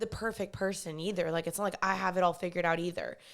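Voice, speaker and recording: A woman speaks with a Texan accent. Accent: Texan American. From Texas, Dallas. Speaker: podcast host. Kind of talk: casual monologue. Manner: casual, conversational.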